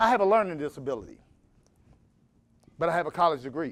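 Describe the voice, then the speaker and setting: A man speaks in an animated tone with very wide pitch swings. The recording is very clean, with a silent background. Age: 50s. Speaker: motivational speaker. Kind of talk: motivational speech.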